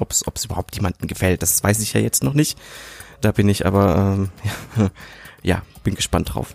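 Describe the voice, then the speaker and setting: The voice has vocal fry and ordinary pitch variation. Long pauses come often. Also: man, fairly low pitch for a man, moderate pace, dry, close sound with no echo. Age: 30s. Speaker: podcaster, media designer. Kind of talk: casual monologue. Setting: home recording. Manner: hesitant, many fillers.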